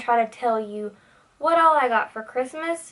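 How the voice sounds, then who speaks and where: A woman talks in a high pitch. Her tone is bright and sharp. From US South, Tennessee. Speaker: beauty YouTuber. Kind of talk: casual vlog monologue. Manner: animated.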